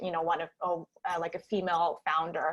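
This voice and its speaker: A woman speaks in a Russian accent. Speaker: startup founder. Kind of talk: panel interview. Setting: online virtual event.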